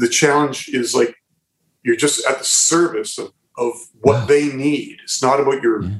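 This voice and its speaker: A man speaks with an Ontario accent at a moderate pace. His pitch is fairly high and his intonation fairly even. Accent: Canadian (Ontario). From Southern Ontario, Canada. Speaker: musician and visual artist. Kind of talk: casual interview chat. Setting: remote call from his art studio.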